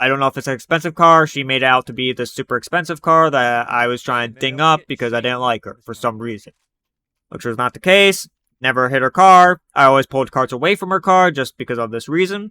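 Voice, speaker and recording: A man's bright, sharp voice at a very fast pace, with ordinary pitch variation. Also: medium pitch for a man, dry, close sound with no echo, very clean recording, silent background. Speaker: storytime youtuber. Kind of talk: storytelling monologue. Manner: sometimes hard to understand.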